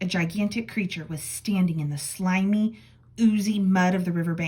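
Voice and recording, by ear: Natural-voiced reading aloud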